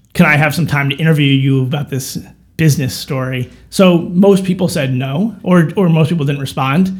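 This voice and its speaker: Noticeable background noise sits under a man with an American accent, whose fairly high voice moves at a moderate pace with ordinary pitch variation. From New York suburbs (Chappaqua). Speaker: author and filmmaker. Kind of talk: casual interview chat. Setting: studio.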